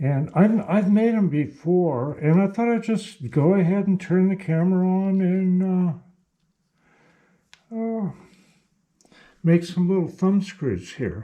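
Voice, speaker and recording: Marked by long, frequent pauses, a dark, mellow tone unfolds at a very slow pace with ordinary pitch variation. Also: man, high pitch for a man. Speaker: machinist. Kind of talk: workshop tutorial. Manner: halting, many fillers.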